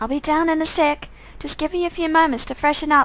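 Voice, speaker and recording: Squeaky and high-pitched, a woman's put-on character voice races at a very fast pace with fairly even intonation over light background noise. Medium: solo performance.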